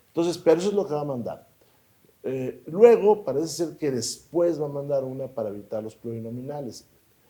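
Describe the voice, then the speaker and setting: A man with a fairly high pitch speaks fairly quickly and with lively intonation. His tone is dark and mellow, and his loudness swings widely. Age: 60s. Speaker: politician. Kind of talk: interview.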